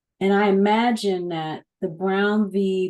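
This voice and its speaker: Medium pitch and a dark, mellow tone from a female speaker. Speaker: podcast co-host and producer; digital storyteller and coach. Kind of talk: podcast interview host.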